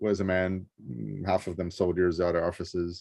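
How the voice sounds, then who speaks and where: This is a man's voice. He has a Rio de Janeiro accent. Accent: Rio Brazilian. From Brazil, Rio de Janeiro. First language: Portuguese. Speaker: interviewee, traveler. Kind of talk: casual interview. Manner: hesitant, many fillers.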